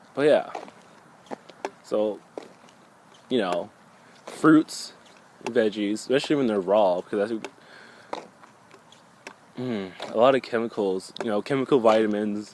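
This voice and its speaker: Amid noticeable background noise, a man's speech is broken by long, frequent pauses. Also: fairly low pitch for a man, ordinary pitch variation. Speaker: spiritual vlogger. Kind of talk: casual monologue vlog. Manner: halting, self-correcting.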